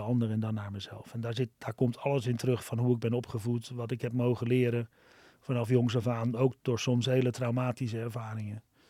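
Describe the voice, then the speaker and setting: Speaking at a fairly quick pace, a man uses a dark, mellow tone with monotone, flat intonation. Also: dry, close sound with no echo. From Amsterdam, Netherlands. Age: 50s. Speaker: social entrepreneur, restaurant founder. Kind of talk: podcast interview. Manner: halting, many fillers and repetitions.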